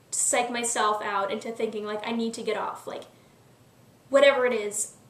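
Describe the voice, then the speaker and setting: Fairly high-pitched woman in a flat monotone, with audible room echo and noticeable background noise. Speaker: YouTube vlogger. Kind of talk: casual vlog monologue. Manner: fast; filler-heavy, lots of um and like.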